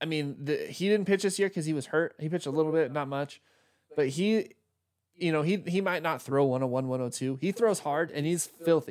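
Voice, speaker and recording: A man's fairly high voice at a fairly quick pace, with ordinary pitch variation, a normal speaking voice, and a very clean recording over a silent background. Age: 30s. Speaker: sports podcast host. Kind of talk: casual chat. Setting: live stream on laptop.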